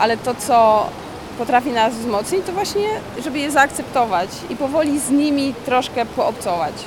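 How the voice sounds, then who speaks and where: The speaker's pitch swings very widely at a moderate pace. Noticeable background noise runs underneath. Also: woman. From Mazovia, Poland. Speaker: freediving instructor and record holder. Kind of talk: interview. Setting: deep diving pool facility.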